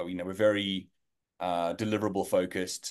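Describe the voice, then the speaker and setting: A man speaks with a South African accent at a fairly quick pace. The background is quiet. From South Africa, Johannesburg. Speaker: learning designer at an AI video company. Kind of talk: interview.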